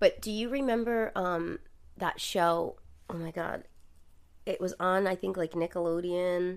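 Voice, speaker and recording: With a Rhode Island accent, a woman speaks at a medium pitch with ordinary pitch variation and long, frequent pauses. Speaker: podcast host. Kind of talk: casual chat, true crime storytelling. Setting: living room recording, at home. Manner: animated, jokey, profane.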